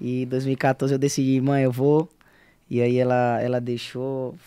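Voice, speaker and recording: A man speaks in a dark, mellow tone with monotone, flat intonation. The sound is dry with no echo, over a quiet background. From Alagoas, Brazil (União dos Palmares); Alagoas, Brazil. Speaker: singer; guest. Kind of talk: casual interview. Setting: studio. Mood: relaxed, smiling, laughing. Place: studio. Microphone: studio mic.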